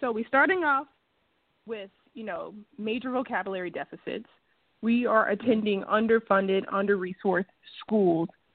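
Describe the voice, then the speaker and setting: A woman with a fairly high pitch talks with big swings in loudness and long, frequent pauses. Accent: American. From US South, Natchez, Mississippi. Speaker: radio host. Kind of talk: radio interview.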